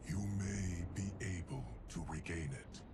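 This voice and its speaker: A man talks at a fairly slow pace in a cartoonish character voice with a very deep, low pitch. Loud background noise fills the recording. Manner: measured, calm.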